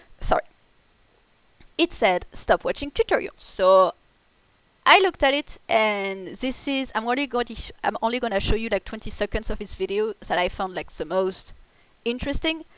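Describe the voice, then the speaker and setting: A woman with a French accent speaks at a moderate pace, her fairly high voice carrying lively intonation. Long pauses come often, and the sound is dry and close with no echo. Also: very clean recording, silent background. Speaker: gaming youtuber. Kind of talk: casual chat. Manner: halting.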